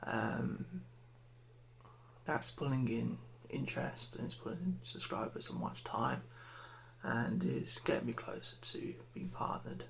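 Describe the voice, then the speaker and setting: A soft-spoken man talks in a calm tone at a fairly slow pace, with long, frequent pauses. Noticeable background noise runs under his voice. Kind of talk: ASMR ramble to camera. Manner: soft-spoken, calm.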